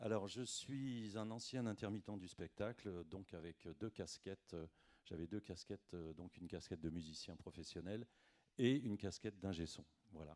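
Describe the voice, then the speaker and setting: A man's fairly low voice at a moderate pace, with ordinary pitch variation and a dry, close sound with no echo. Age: 60s. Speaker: retired musician and sound engineer. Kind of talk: self-introduction at a meeting. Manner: hesitant, many fillers.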